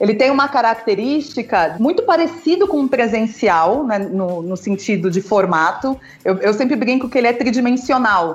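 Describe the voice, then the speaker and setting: Over music in the background, a woman talks at a moderate pace with hardly any pauses, her fairly high pitch making very wide swings. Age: 40s. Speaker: founder of a publishing-courses school. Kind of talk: casual chat.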